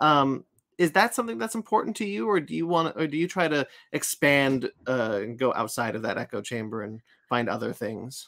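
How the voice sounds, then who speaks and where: The speaker has a Californian accent and talks at a fairly quick pace. The pitch swings very widely. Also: man, fairly high pitch for a man. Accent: American, California. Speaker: podcast host. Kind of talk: casual interview. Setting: video call. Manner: mumbling, halting.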